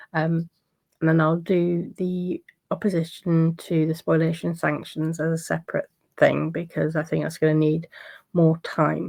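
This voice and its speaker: Against a quiet background, a woman talks in a fairly low pitch with a monotone, flat delivery. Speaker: legal commentator. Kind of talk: casual commentary on court filings. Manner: hesitant, many fillers.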